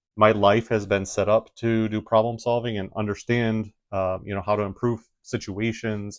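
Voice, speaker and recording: Against a quiet background, a man speaks at a moderate pace in a Midwestern accent, with a fairly low pitch. His intonation is fairly even, and the sound is dry and close, with no echo. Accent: Midwest American. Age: 40s. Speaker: engineer and YouTuber. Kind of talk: casual vlog talk.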